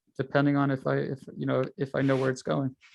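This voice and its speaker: A man's fairly quick speech comes in a New York accent. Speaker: trading instructor. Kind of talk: tutorial. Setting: video call. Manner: fast.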